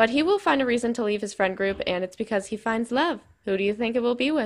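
At a very fast pace, a woman speaks with a fairly high pitch and ordinary pitch variation. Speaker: YouTuber narrating game series. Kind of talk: casual vlog talk.

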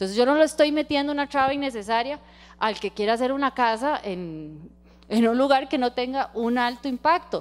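Her high-pitched voice moves at a fairly quick pace, and this woman's intonation is lively. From Costa Rica. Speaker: environmental lawyer, guest lecturer. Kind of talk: lecture. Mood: engaged, enthusiastic. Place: hall. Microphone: handheld.

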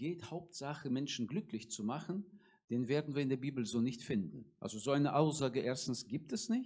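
Over a quiet background, a man speaks in a dark, mellow tone. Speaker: preacher. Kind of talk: sermon. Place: church. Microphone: handheld.

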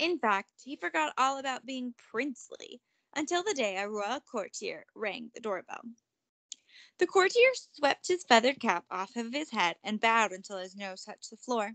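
A woman at a fairly high pitch with a fairly bright tone, lively intonation and a moderate pace, her sound dry and close with no echo

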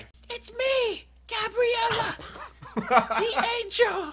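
In a cartoonish character voice, the speaker talks very slowly at an extremely high pitch. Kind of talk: improvised comedy dialogue. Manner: loud.

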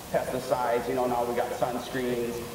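The recording has noticeable background noise and audible room echo. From Hawaii. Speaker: local fisherman in documentary. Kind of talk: documentary interview. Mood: earnest, protective. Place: classroom.

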